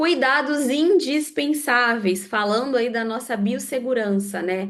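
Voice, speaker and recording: A high-pitched woman speaks very slowly with lively intonation. Room echo is audible. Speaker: lecturer in aesthetic facial procedures. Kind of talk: online lecture.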